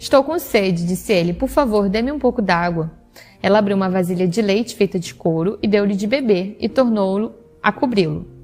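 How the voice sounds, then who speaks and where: With music playing in the background, a woman talks at a fairly quick pace in a Rio de Janeiro accent. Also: medium pitch for a woman, ordinary pitch variation. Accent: Brazilian Portuguese, Rio de Janeiro. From Rio de Janeiro, Brazil. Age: 20s. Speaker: teacher. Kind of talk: Bible reading.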